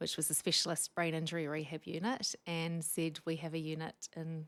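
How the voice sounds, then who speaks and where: A woman with a strong New Zealand accent, speaking at a moderate pace. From New Zealand, Wellington. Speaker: speech pathologist. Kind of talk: podcast interview.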